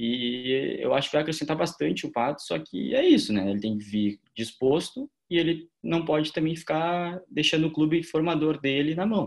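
An ordinary speaking voice: a man with a fairly high pitch, moderate pace, lively intonation and hardly any pauses. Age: 20s. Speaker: football podcast co-host, journalism student. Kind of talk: casual chat.

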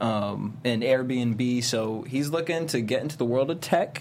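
Against noticeable background noise, a man of medium pitch speaks at a moderate pace with ordinary pitch variation. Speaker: co-host. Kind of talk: casual chat.

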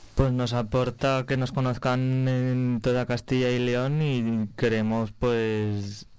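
Over a very clean recording with a silent background, a man speaks at a very slow pace in a flat, monotone intonation. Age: young. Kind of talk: radio interview.

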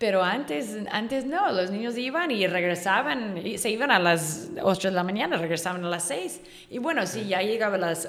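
A woman with an English accent speaks at a moderate pace with lively intonation and hardly any pauses. Audible room echo surrounds her voice. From Northern California, US. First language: English (speaking Spanish). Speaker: online magazine writer. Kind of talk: casual interview.

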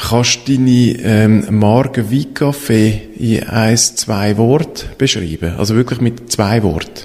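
A man's medium-pitched voice at a very slow pace, its loudness very even. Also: ordinary pitch variation. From Switzerland, Eglisau (canton of Zurich). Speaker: podcast host, storytelling consultant. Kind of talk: interview.

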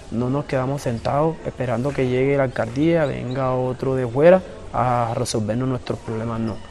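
A man with a medium pitch talks at a moderate pace. His intonation is fairly even, and background noise is noticeable. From Colombian Caribbean coast, Cartagena islands. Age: 20s. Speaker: community leader. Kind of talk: interview testimony.

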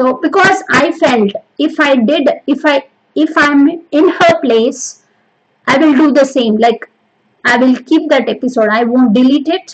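A woman's high-pitched voice with a Telugu accent, fairly slow and at very even loudness. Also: ordinary pitch variation. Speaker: podcast host. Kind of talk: solo motivational monologue. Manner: hesitant, many fillers.

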